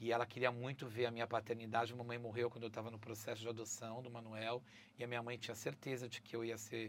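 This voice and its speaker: A man talks at a very fast pace in a medium pitch. There is noticeable background noise. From Brazil. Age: 50s. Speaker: travel content creator and presenter. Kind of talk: casual interview chat. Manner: animated.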